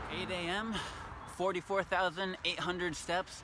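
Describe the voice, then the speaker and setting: A high-pitched male voice moves fairly slowly while noticeable background noise carries on behind it. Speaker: vlogger. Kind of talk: vlog narration. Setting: outdoors. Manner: slurred from cold.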